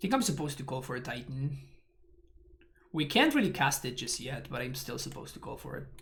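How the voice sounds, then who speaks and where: Amid audible room echo, a man talks at a very fast pace with big swings in loudness and long, frequent pauses. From Argentina. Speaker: Magic: The Gathering streamer. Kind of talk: live gameplay commentary. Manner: mumbling.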